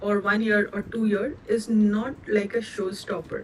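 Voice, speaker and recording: With an Indian accent, a woman speaks very slowly in a fairly high pitch with fairly even intonation. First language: Indian language, not English. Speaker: cloud certification trainer. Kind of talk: live online training session. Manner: hesitant, with many fillers.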